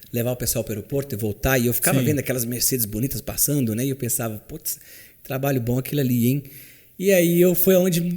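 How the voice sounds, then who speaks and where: A man's dark, mellow, medium-pitched voice at a very fast pace, with ordinary pitch variation. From Minas Gerais, Brazil. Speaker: chauffeur. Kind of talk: interview answer.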